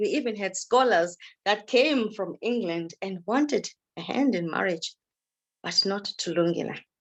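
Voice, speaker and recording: In a plain, everyday voice, a woman talks at a moderate pace, her medium pitch showing ordinary pitch variation. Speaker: storyteller. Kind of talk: oral folk tale storytelling.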